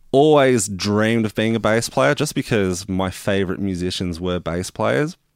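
With an Australian accent, a man talks at a moderate pace in a fairly low voice, his intonation lively and his pauses hardly there, on a very clean recording with a silent background. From Melbourne western suburbs, Australia. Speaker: rock bass player. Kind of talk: casual interview chat. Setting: home studio.

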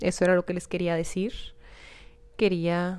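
The speaker talks at a fairly slow pace in a northern Mexican accent. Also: woman. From Mexico, Hermosillo, Sonora. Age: 20s. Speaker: YouTube content creator, podcast host. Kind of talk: casual solo monologue. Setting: home studio in her bedroom. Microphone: new microphone.

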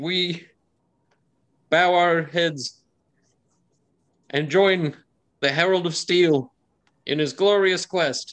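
Putting on a character voice, a man with a high pitch speaks shakily at a very slow pace, his pitch varying in an ordinary way. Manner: nervous, shaky.

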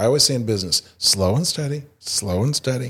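In an American accent, a man talks at a fairly quick pace with lively intonation and a medium pitch. His voice is somewhat breathy, on a very clean recording with a silent background. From Indiana. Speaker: improv theater founder. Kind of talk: casual interview.

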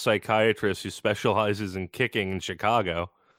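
Using an ordinary speaking voice, a man with a fairly low pitch talks at a fairly quick pace on a very clean recording with a silent background. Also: dry, close sound with no echo. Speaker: podcast co-host. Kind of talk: casual sports chat.

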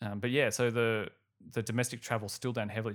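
In a very clean recording with a silent background, a man with an Australian accent speaks in a flat monotone. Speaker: finance podcast host. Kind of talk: solo podcast commentary. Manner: casual, laughs often.

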